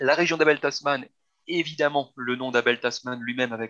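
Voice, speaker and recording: Bright and sharp in tone, a man's medium-pitched voice moves at a fairly quick pace with fairly even intonation. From Belgium. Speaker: travel agency team lead. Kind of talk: interview.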